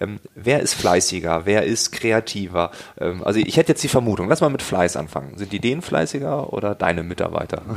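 Man's fairly low voice with very wide pitch swings at a fairly quick pace, over noticeable background noise. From East Frisia, northern Germany. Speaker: podcast host. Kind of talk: interview.

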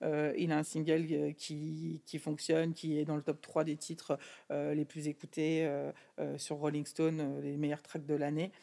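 In a very clean recording with a silent background, a woman speaks very slowly in a very deep, low pitch, her tone dark and mellow and her intonation flat and monotone. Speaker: record label executive. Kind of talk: interview conversation.

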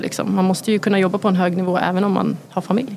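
Over noticeable background noise, a woman talks very fast in a medium pitch. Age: 30s. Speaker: chef. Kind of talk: casual chat.

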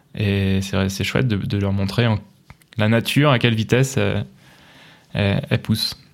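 Pausing often and at length, a man talks at a fairly slow pace in a fairly low voice with ordinary pitch variation. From France, Touraine (Loir-et-Cher). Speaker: former software engineer turned baker. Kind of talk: casual interview chat. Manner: halting, frequent hesitations.

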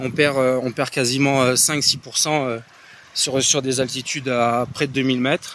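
Against noticeable background noise, a man speaks very slowly in a flat monotone. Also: medium pitch for a man. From Réunion. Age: 30s. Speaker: former Olympic triathlete, trail runner. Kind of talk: casual chat. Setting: outdoors in the mountains.

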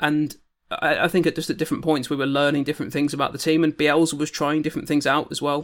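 Over a very clean recording with a silent background, a man speaks at a very fast pace in a fairly high, monotone voice with flat intonation. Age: young. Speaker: football podcast panelist. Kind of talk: casual chat.

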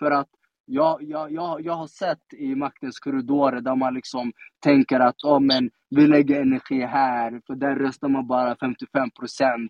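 A monotone, flat delivery at a fairly slow pace. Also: man, fairly high pitch for a man. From Sweden, Stockholm (Tensta). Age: 30s. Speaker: politician. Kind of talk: casual interview. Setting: live audio room (Clubhouse).

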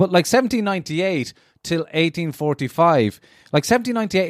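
A man speaks with a Cork accent and very wide pitch swings. The sound is dry and close with no echo, in a very clean recording with a silent background. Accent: Cork Irish. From Ireland, Cork. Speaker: access programme student discussing Irish history. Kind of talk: casual chat.

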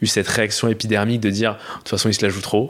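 The man's voice is fairly low and delivered in a flat monotone. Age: 20s. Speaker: podcast listener sharing experiences. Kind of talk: casual chat.

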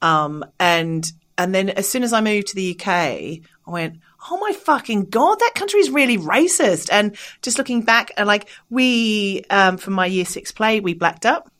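A woman with an Australian accent speaks at a moderate pace in a medium pitch, her intonation lively. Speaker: comedian and podcast host. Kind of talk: casual chat, comedic interview. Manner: joking, irreverent, animated.

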